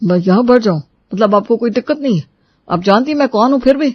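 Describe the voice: A man uses a cartoonish character voice at an extremely high pitch. He speaks at a very fast pace.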